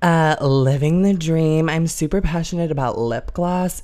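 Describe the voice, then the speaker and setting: In a very clean recording with a silent background, a woman with an American accent speaks at a fairly low pitch and a moderate pace in an unremarkable speaking voice. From US Midwest, Chicago suburbs. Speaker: actress and model. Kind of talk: casual chat. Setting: living room.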